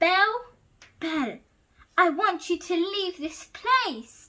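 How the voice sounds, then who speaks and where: A woman's put-on character voice, extremely high in pitch, very slow, with lively intonation. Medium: read story. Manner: nervous.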